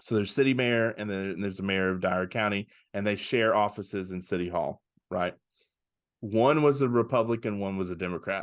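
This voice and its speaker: Against a quiet background, a man with a Southern US accent talks at a fairly quick pace in a fairly low pitch, with ordinary pitch variation. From Arkansas (West Memphis). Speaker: pastor. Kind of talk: casual interview chat. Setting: video podcast interview.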